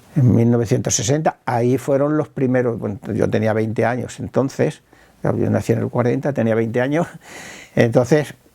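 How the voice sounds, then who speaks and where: A man talks at a fairly quick pace with a medium pitch and fairly even intonation. Noticeable background noise runs under his voice. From Spain, Talavera de la Reina (Castile). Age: 70s. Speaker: film club founder. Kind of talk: interview testimony. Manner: halting, with repetitions.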